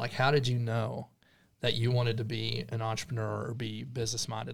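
Speaking at a moderate pace, a man with a medium-pitched, somewhat breathy voice keeps a monotone, flat intonation. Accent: American. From Texas Panhandle. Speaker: real estate agent. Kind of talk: casual chat.

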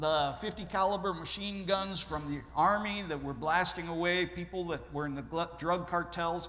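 Audible echo from the room surrounds a man speaking with an American accent. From Ohio. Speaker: missionary. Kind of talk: sermon. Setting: church.

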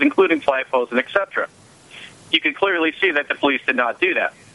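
A man talks fairly quickly in a fairly high pitch with lively intonation. Noticeable noise sits in the background.

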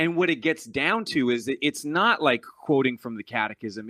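A man at a fairly quick pace. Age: 30s. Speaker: singer-songwriter and lay minister. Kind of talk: casual chat. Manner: halting, many fillers and repetitions.

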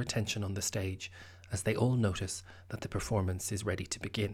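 A somewhat breathy man's voice with an Irish accent, fairly quick and fairly even in intonation, on a very clean recording with a silent background. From Ireland. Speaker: podcast host and theatre maker. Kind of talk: scripted narration. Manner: formal.

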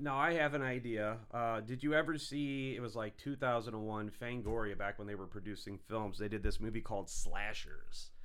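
A man speaks in a plain, everyday voice at medium pitch and a moderate pace, with ordinary pitch variation and hardly any pauses. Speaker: guest co-host. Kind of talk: casual chat. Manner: joking, irreverent.

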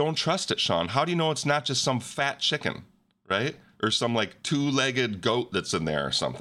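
A man's playful, bright, sharp voice at medium pitch, full of very wide pitch swings and vocal fry, very even in loudness, on a very clean recording with a silent background. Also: moderate pace. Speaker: podcast host. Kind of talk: casual banter chat. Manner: joking, playful.

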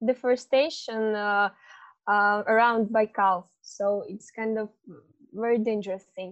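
A woman with a Russian accent. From Russia, Irkutsk, Siberia. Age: 20s. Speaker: climate activist. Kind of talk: interview. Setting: video call. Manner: halting.

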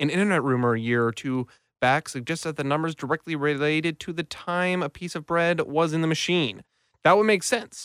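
A man with an ordinary speaking voice talks at a fairly quick pace and a fairly high pitch, the sound dry and close with no echo, on a very clean recording with a silent background. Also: ordinary pitch variation. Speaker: podcast host. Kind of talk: casual chat. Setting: studio.

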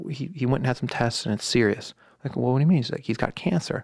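A man with a normal speaking voice and an American accent, medium pitch and ordinary pitch variation on a very clean recording with a silent background. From US West Coast, Silicon Valley. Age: 40s. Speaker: band manager. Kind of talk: casual interview.

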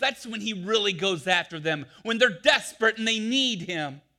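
A man's raised, projected, high-pitched voice with lively intonation at a moderate pace. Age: 40s. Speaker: pastor. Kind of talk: sermon.

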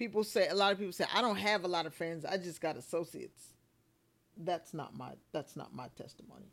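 A woman with a Southern US accent talks at a fairly quick pace, her pitch fairly low with ordinary variation and big swings in loudness. The recording is very clean, with a silent background. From US South, South Carolina Lowcountry. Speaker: preacher and spoken word artist. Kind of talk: casual interview chat.

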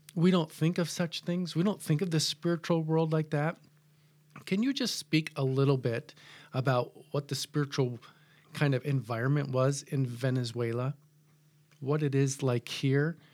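A man with a General American accent, fairly high pitch and ordinary pitch variation, at a moderate pace with long, frequent pauses, on a very clean recording with a silent background. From US Midwest. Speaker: pastor. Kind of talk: casual chat.

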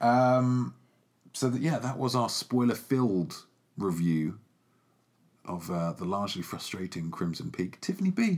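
A man speaks with very wide pitch swings. He leaves long, frequent pauses. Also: medium pitch for a man, fairly slow pace. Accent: English. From England. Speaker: film podcast host. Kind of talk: casual chat.

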